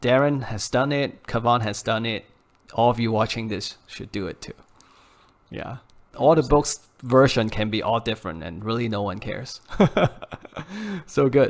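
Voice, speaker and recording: Using long, frequent pauses and big swings in loudness, a man with a non-native accent speaks at a moderate pace and medium pitch with ordinary pitch variation. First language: not English. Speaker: podcast host. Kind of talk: podcast interview.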